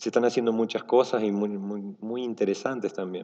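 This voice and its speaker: The voice moves at a fairly quick pace with fairly even intonation. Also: man. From Argentina. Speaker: software engineer, conference speaker. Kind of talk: conference talk. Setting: stage with audience. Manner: relaxed, casual with many fillers.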